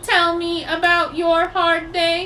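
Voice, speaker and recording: Over clear background noise, a woman does a put-on character voice at an extremely high pitch, with monotone, flat intonation. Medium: read story. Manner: polite, soothing.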